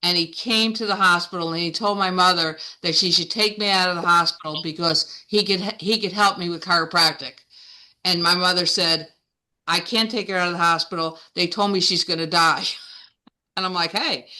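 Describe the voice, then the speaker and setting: In an American accent, a woman talks at a fairly quick pace with a fairly low pitch. Her tone is bright and sharp, and the background is quiet. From New Jersey. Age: 60s. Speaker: chiropractor. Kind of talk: guest talk in online meeting. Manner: animated.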